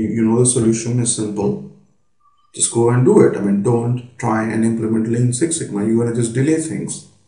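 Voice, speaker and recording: A man with a medium-pitched, somewhat breathy voice talks at a fairly quick pace, with audible echo in the room. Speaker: business consultant. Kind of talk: lecture. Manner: hesitant, many fillers.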